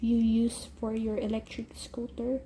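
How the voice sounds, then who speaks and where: At a very slow pace, a woman talks with a Filipino accent. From Philippines. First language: Tagalog. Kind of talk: casual talk to camera.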